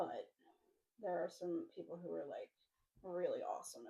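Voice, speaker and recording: Moderate pace from a woman's voice. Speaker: crafting vlogger. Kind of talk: casual chat. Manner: not a loud talker. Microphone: poor microphone, hard to hear.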